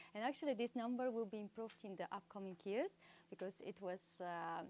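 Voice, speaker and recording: Recorded with a dry, close sound and no echo, a woman of medium pitch talks at a moderate pace. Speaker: sustainability media co-founder giving a conference talk. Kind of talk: conference talk. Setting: live event venue with audience. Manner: halting, with fillers and repetitions.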